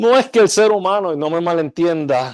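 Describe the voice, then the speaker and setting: Over a quiet background, a man with a normal speaking voice and a fairly high pitch talks at a fairly slow pace. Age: 60s. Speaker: architecture school dean. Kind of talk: lecture. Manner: formal.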